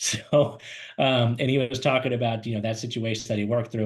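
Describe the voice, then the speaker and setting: At a fairly quick pace, a man speaks in a medium pitch. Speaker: career webinar host and recruiter. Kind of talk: webinar presentation. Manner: fast; animated.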